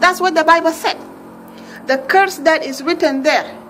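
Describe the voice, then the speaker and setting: With noticeable background noise around her, a woman talks with ordinary pitch variation. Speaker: religious video blogger. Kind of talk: impassioned religious appeal. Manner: rising pitch when upset; emphatic, repetitive.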